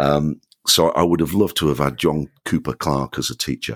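In a Yorkshire accent, a man speaks fairly slowly with a very deep, low pitch and vocal fry, the sound dry and close with no echo in a very clean recording with a silent background. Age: 60s. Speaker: children's author. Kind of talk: interview.

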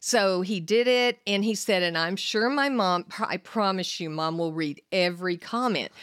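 With an American accent and a medium pitch, a woman talks at a moderate pace in an animated tone, with hardly any pauses. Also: ordinary pitch variation. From Texas. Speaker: host's mother, visiting guest. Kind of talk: casual chat. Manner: animated, laughing.

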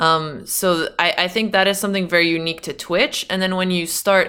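A woman speaks at a fairly quick pace and a medium pitch. It is a normal speaking voice. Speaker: chess streamer. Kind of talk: casual chat.

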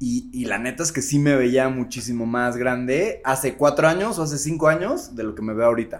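A man's medium-pitched, fairly quick delivery with ordinary pitch variation, hardly any pauses, and an ordinary speaking voice. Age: 30s. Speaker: festival organizer and bar owner. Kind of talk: casual chat.

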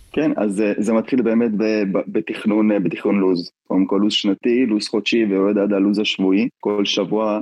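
Speaking at a moderate pace, a man talks in a fairly low pitch. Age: 20s. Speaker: tennis coach. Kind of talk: interview.

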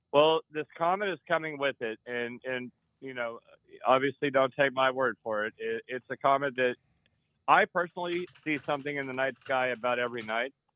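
A man with a normal speaking voice and an American accent, medium in pitch and at a moderate pace. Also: ordinary pitch variation. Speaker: caller. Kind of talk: call-in talk. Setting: phone call.

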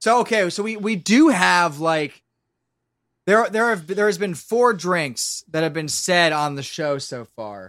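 A high-pitched man with a Philadelphia accent, lively intonation and a fairly slow pace, on a very clean recording with a silent background. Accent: Philadelphia-area American. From Pennsylvania, Lancaster area. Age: 20s. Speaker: audio drama creator and voice actor. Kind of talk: casual chat.

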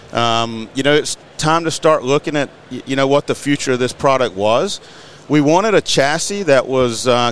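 With an American accent, a man talks at a moderate pace. His pitch is medium, and noticeable background noise is present. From Eastern North Carolina. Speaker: mower company representative. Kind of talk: podcast interview. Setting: studio.

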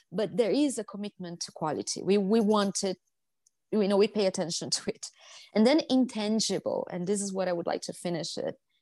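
A woman with a Brazilian accent speaks at a fairly quick pace and medium pitch, with ordinary pitch variation and a dark, mellow tone. The sound is dry and close with no echo, and the recording is very clean with a silent background. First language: Portuguese. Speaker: hospitality education executive. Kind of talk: podcast interview.

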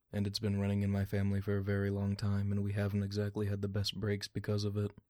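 In a very clean recording with a silent background, a man speaks quietly at a fairly low pitch. His delivery is very fast and monotone, with flat intonation. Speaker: audio drama character. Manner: monotone, flat and stoic; quiet, speaks little.

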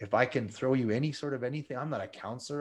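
The speech comes at a fairly quick pace. It is an ordinary speaking voice. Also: man, quiet background. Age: 50s. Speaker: ultramarathon runner and motivational speaker. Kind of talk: interview testimony.

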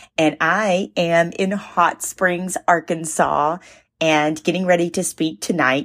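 In a raspy, put-on character voice, a woman talks fairly slowly at a fairly low pitch. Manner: excited.

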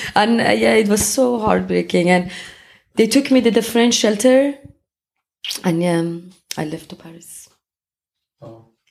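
A woman's medium-pitched voice with a Persian accent, at a fairly slow pace, with long, frequent pauses and big swings in loudness. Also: lively intonation. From Iran, Tehran. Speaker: photographer. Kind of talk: interview.

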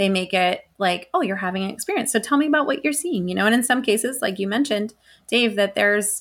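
An ordinary speaking voice with an American accent and ordinary pitch variation comes through in a very clean recording with a silent background. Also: woman. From Colorado, US. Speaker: ufologist and paranormal researcher. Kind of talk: interview.

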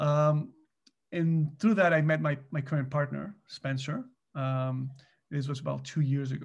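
Somewhat breathy, a man talks at a fairly slow pace with fairly even intonation. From Mexico. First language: Spanish. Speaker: business co-founder, finance executive. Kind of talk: interview. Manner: hesitant, many fillers.

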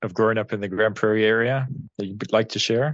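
Talking at a very fast pace, a man with a medium pitch and fairly even intonation speaks in a western Canadian accent. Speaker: podcast co-host. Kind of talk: casual chat.

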